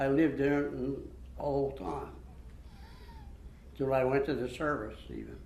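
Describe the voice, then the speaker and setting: A man speaks in a Western Pennsylvania accent at a fairly high pitch. His intonation stays monotone and flat. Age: 90s. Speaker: World War II veteran, army medic. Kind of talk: interview answer.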